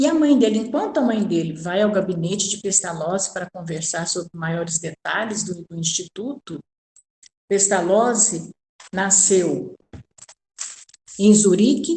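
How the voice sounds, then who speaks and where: With lively intonation and a medium pitch, a woman talks at a fairly slow pace, her loudness swinging widely and her speech broken by long, frequent pauses. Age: 60s. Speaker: spiritist course lecturer. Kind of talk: lecture. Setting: recording at home. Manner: halting.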